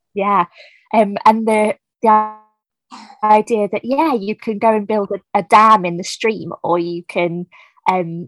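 A woman of medium pitch with a southern English accent, at a fairly slow pace with ordinary pitch variation, in a dry, close sound with no echo. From southern England, New Forest. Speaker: children's author, former teacher. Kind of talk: casual interview chat.

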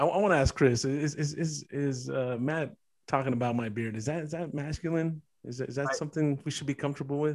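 Very fast and with fairly even intonation, a man speaks at a fairly high pitch. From Mexican-American. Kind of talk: casual chat. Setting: video call.

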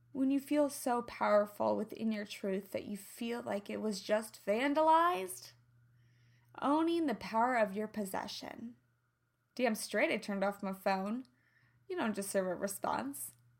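Fairly high-pitched woman with a slight Midwestern accent, lively intonation, an animated tone and a fairly slow pace. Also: very clean recording, silent background. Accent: slight Midwestern twang. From US Midwest. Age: 30s. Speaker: podcast host, health and lifestyle coach. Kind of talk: solo podcast monologue.

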